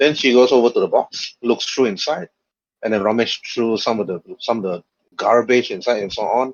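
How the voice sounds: The man's slightly husky voice shows ordinary pitch variation in a dry, close sound with no echo. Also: medium pitch for a man, moderate pace.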